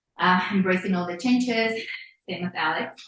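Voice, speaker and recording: Speaking at a fairly slow pace with a non-native accent, a woman uses a fairly low pitch and ordinary pitch variation. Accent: noticeable non-native. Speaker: therapist and consultant. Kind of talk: casual chat. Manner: halting, many fillers.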